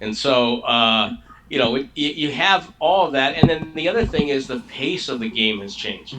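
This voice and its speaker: Against noticeable background noise, a man with a fairly high pitch speaks at a moderate pace, his pitch swinging very widely. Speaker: longtime radio play-by-play announcer for a pro basketball team. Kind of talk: interview answer.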